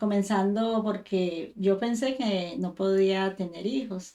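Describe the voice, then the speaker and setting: A woman's dark, mellow voice at medium pitch, very slow pace, and ordinary pitch variation. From Colombia, Tuluá, Valle del Cauca (near Cali). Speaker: mother giving church testimony. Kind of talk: testimony.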